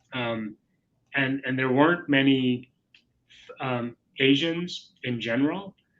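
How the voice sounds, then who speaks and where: Speaking at a fairly slow pace, a man with an American accent uses a medium pitch and ordinary pitch variation. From India (Mumbai), then US. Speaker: corporate executive. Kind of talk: interview. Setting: webinar video call.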